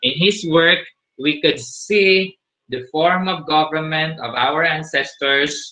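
At a very slow pace, a man with a fairly high pitch talks with ordinary pitch variation. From Philippines. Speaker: teacher. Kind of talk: lecture. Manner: hesitant with fillers. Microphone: video call.

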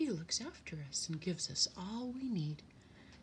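The speaker uses a natural reading voice. The intonation is lively.

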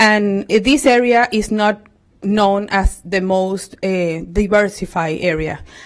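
In a Spanish accent, a woman speaks at a very slow pace with medium pitch and ordinary pitch variation. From Venezuela. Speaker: parent, public commenter. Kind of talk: public comment at a school board meeting. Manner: halting.

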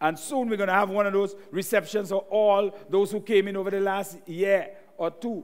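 At a moderate pace, a man talks with a high pitch. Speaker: pastor. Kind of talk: sermon. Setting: church. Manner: animated.

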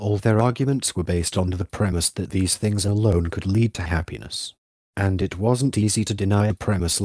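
Quiet surroundings behind a natural reading voice

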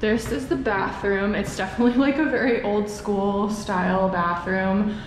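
A woman speaks at a fairly slow pace with ordinary pitch variation. The room echoes audibly, with light background noise. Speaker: vlogger. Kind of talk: casual vlog chat. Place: empty room. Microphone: handheld.

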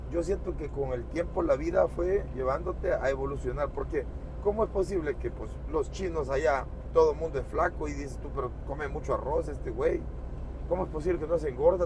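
Noticeable background noise sits under speech that moves at a fairly quick pace. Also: man. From rural Mexico. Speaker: truck driver vlogger. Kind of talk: casual vlog narration. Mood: relaxed, joking. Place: car.

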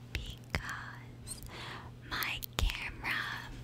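Whispering, a woman speaks at a very slow pace. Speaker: gaming YouTuber trying ASMR. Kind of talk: ASMR whisper and tapping video, casual talk to camera. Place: home room. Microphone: studio mic.

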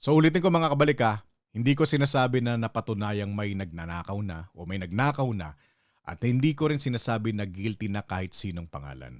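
A man with a fairly low pitch speaks at a fairly quick pace, with very wide pitch swings and big swings in loudness. The recording is very clean, with a silent background. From Philippines. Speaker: political commentary vlogger. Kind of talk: solo commentary monologue. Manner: casual, conversational.

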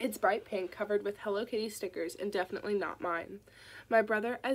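Simple, plain reading aloud

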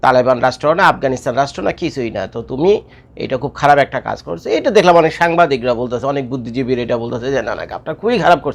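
This man has an unremarkable speaking voice. His pitch is fairly high, with ordinary pitch variation. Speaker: YouTube commentator. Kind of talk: casual video commentary.

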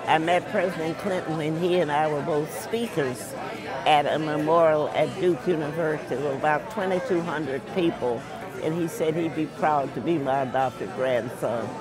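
In a dry sound with no echo and crowd noise in the background, a woman with a very deep, low pitch speaks at a moderate pace with ordinary pitch variation. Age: 80s+. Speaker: war veteran. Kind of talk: interview. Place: cafe.

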